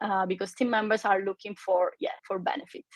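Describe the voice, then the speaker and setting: A woman speaks at a fairly quick pace. Her voice sits at a medium pitch. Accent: Italian. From Italy. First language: Italian. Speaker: recruiter. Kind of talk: webinar panel talk. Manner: halting, many fillers.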